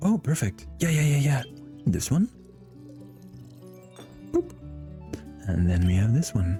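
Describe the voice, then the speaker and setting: Over music in the background, a man with a medium pitch and a gentle tone speaks at a fairly slow pace with very even loudness, very wide pitch swings, and long, frequent pauses. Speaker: ASMR gaming playthrough host. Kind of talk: ASMR game playthrough narration. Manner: soft-spoken, gentle, relaxing.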